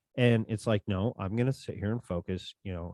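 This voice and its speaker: At a moderate pace, a man speaks in a fairly low pitch with ordinary variation, in a dry, close sound with no echo. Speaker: podcast host. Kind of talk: casual chat. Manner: loud. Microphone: close to podcast microphone.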